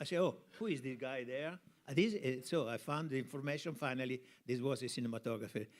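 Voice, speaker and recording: Here a man talks at a very fast pace in an Italian accent. His pitch is medium, with ordinary pitch variation. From Italy, Tuscany (Piombino). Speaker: cinematographer. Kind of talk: interview on stage. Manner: halting.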